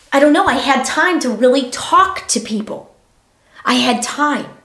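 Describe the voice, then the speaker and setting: A high-pitched woman's voice at a fairly slow pace, with audible room echo. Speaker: podcaster, former teacher. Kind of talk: casual monologue. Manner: animated.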